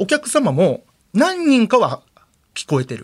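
A man's voice swings very widely in pitch as he speaks. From Nagoya, Aichi. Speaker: kaidan storyteller comedian. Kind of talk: ghost story telling. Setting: studio.

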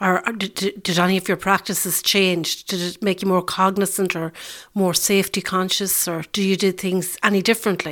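A woman talks in an Irish accent at a fairly quick pace. Her intonation is monotone and flat. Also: medium pitch for a woman, very clean recording, silent background. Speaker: podcast host, sustainability advisor. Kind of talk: interview. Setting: on location at farm.

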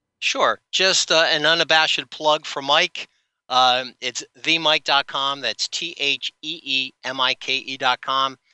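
Using a normal speaking voice, a man with an American accent talks at a fairly slow pace with a fairly high pitch and fairly even intonation. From New Jersey. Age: 50s. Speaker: cartoon brand creator, former athlete. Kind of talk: interview.

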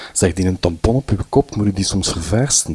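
A man talks with a Flemish accent. His pitch varies in an ordinary way. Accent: Flemish Dutch. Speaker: storyteller. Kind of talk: personal testimony. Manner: halting, many fillers.

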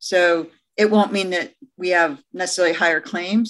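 A woman speaks with a Midwestern American accent. Her pitch sits in the medium range. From US Midwest, Detroit, Michigan. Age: 50s. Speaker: economist. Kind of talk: casual chat.

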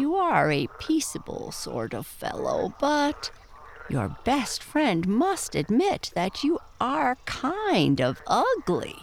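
A put-on character voice, high in pitch, speaks at a very slow pace. Clear background noise can be heard. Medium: read story. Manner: sleepy, blunt, curt.

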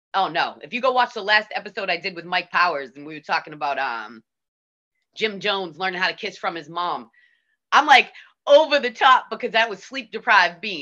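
Over a quiet background, a woman with a Boston accent talks at a fairly quick pace and a medium pitch. Her tone is bright and sharp, with very wide pitch swings and big swings in loudness. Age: 50s. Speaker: DJ. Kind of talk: casual chat. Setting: video call.

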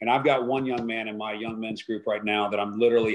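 A man speaks in a plain, everyday voice at a medium pitch, with fairly even intonation. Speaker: wealth advisory firm founder. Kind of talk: interview.

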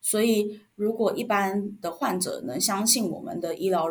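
A woman with a Taiwanese accent talks with lively intonation. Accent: Taiwanese Mandarin. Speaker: former respiratory therapist, product and marketing manager. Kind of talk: interview.

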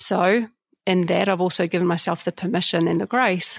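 On a very clean recording with a silent background and a dry, close sound with no echo, a woman of medium pitch speaks in a New Zealand accent with vocal fry. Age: 40s. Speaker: leadership trainer. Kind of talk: casual monologue.

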